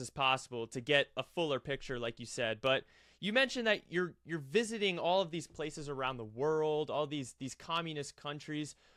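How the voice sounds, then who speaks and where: A man's fairly high, bright, sharp voice at a fairly quick pace with lively intonation and hardly any pauses, on a very clean recording with a silent background and a dry, close sound with no echo. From United States. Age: 20s. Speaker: history podcast host. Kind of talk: interview. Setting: video podcast.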